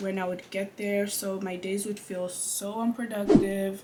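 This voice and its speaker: Over noticeable background noise and audible room echo, a woman at medium pitch talks at a fairly slow pace with ordinary pitch variation. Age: 20s. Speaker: beauty vlogger. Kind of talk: casual chat.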